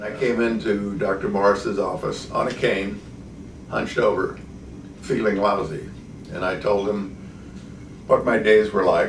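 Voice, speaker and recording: There is audible room echo around this man's voice. He speaks at a fairly slow pace with long, frequent pauses. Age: 70s. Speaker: patient. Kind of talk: testimony. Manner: hesitant, with frequent fillers.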